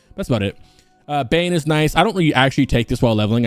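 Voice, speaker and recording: A man talking very fast with lively intonation, music in the background. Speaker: gaming guide youtuber. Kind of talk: unscripted gameplay tutorial. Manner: mumbling.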